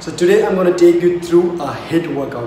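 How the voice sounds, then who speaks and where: Over music in the background, a man talks at a moderate pace with audible room echo. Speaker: fitness vlogger. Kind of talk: workout tutorial intro. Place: home room. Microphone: camera far.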